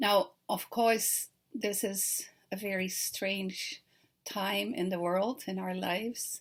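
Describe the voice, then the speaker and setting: A woman with a Dutch accent at a medium pitch, speaking at a very slow pace, on a very clean recording with a silent background. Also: ordinary pitch variation. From Netherlands. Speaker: children's author. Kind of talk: recorded talk to teachers. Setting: self-recorded video. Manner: friendly, conversational with fillers.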